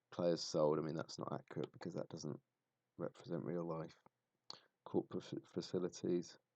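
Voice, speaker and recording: A man speaks in a very deep, low voice with a southern English accent, his dark, mellow tone staying monotone and flat, broken by long, frequent pauses, all in a dry, close sound with no echo. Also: moderate pace. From southern England. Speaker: football streamer. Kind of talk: live stream commentary. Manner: halting.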